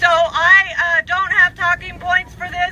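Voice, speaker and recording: A woman's raised, projected voice at an extremely high pitch, with an American accent, ordinary pitch variation, a fairly slow pace and noticeable background noise. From Washington State, Puyallup tribe. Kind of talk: rally speech.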